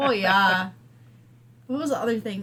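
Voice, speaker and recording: A woman's unremarkable speaking voice with an American accent, medium pitch and ordinary pitch variation. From Wisconsin. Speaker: podcast co-host. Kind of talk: casual chat.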